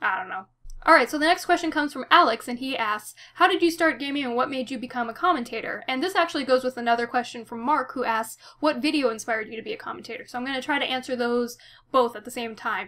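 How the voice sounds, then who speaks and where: Raising and projecting her voice, a woman with an American accent talks at a very fast pace in a high pitch with lively intonation. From Nevada, Reno. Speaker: YouTuber, gaming vlogger. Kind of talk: casual Q&A vlog.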